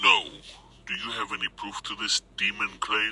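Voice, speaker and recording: A moderate-paced put-on character voice from a man, pitched fairly low. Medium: audio drama. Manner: measured, commanding.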